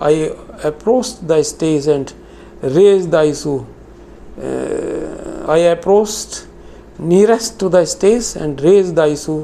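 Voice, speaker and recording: Over noticeable background noise, the speech unfolds at a fairly slow pace. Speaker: retired banker and pensioner activist. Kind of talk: reading aloud a prepared statement. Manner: formal.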